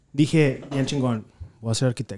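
A man's dark, mellow voice, fairly high in pitch for a man, with ordinary pitch variation at a moderate pace. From Laredo, Texas border. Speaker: graphic designer. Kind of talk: casual chat.

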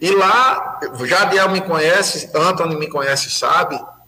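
Over noticeable background noise, a raised, projected voice speaks at a fairly slow pace. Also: man. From Pernambuco, Brazil. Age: 40s. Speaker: municipal security council president. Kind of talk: casual chat. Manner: animated.

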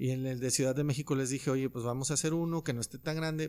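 An ordinary speaking voice with fairly even intonation comes through in a very clean recording with a silent background. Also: man. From Mexico, Loreto, Zacatecas. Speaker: musician and sneaker collector. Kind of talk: casual chat.

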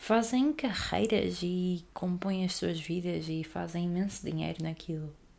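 A woman speaks at a fairly slow pace. Room echo is audible around her voice. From Portugal, Aveiro. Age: young. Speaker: podcaster. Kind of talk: casual monologue.

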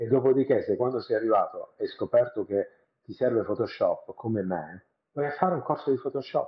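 A man speaks at a moderate pace. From Italy, Bari (Apulia). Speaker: special effects make-up artist. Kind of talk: casual interview.

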